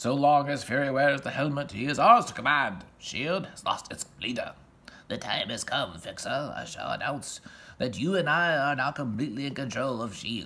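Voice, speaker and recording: A man uses a put-on character voice pitched fairly high. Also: moderate pace. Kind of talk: melodramatic villain monologue. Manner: dramatic, menacing, theatrical.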